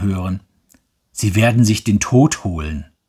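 A man with a dark, mellow tone, somewhat breathy and calm, soothing in tone, with ordinary pitch variation, in a very clean recording with a silent background. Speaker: audiobook narrator. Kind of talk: audiobook narration. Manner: calm, slow, soothing reading pace; expressive, wistful first-person storytelling.

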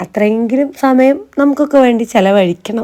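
Her pitch moves in an ordinary way. The woman's tone is dark and mellow. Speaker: family vlogger. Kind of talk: casual vlog narration. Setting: outdoors.

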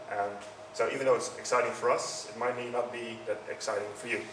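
Over noticeable background noise, a man with a Dutch accent talks at a fairly quick pace. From Netherlands. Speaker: user experience consultant. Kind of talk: conference talk. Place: hall. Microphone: handheld.

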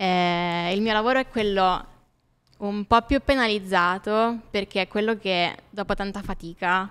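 Here a woman talks at a fairly slow pace. Her intonation stays fairly even. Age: 20s. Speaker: graphic designer; podcast guest. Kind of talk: casual interview. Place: studio. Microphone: studio mic.

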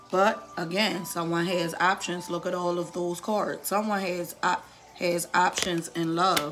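With music playing in the background, a woman with a fairly low voice talks at a fairly slow pace in a monotone, flat intonation. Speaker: tarot reader. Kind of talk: tarot reading video. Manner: slow, repetitive, deliberate.

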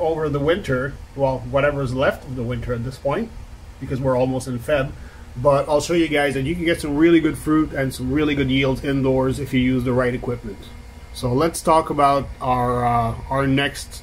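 With light background noise present, a man speaks at a moderate pace and fairly even intonation. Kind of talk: tutorial. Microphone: phone near.

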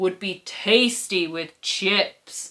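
Growling, a woman puts on a character voice. Her tone is menacing. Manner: growling, menacing.

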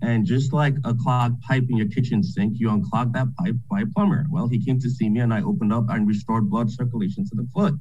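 Over faint background music, a man talks at a fairly quick pace with very even loudness and hardly any pauses. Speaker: cardiologist; panelist. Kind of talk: panel discussion. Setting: video call. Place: office. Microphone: webcam.

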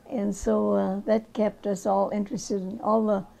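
With an Upper Midwest accent, a woman speaks at a fairly slow pace, her medium pitch showing ordinary variation. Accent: Upper Midwest American. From rural Minnesota. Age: old. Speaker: crop artist. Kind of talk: interview answer.

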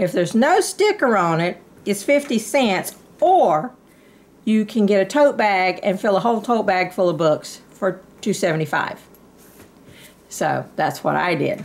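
A woman's lively intonation at a fairly slow pace, broken by long, frequent pauses. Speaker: haul vlogger. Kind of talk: casual vlog chat. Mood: cheerful, chatty. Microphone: phone near.

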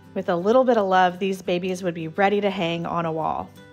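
Faint music plays in the background behind a woman's voice. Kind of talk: casual vlog chat. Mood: enthusiastic. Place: shop.

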